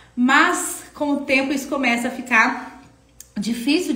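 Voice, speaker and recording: At a fairly slow pace, a woman talks amid audible room echo and noticeable background noise. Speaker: architecture office owner and live-stream mentor. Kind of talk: live stream Q&A. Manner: conversational.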